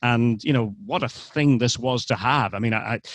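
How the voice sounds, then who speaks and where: Against a quiet background, a man with a Scottish accent speaks at a medium pitch in a dry, close sound with no echo. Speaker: sports commentator. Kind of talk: interview answer. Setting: remote call.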